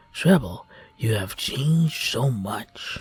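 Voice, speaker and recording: In a raspy, soft-spoken whisper, a man puts on a character voice at a very slow pace. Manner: soft whispering.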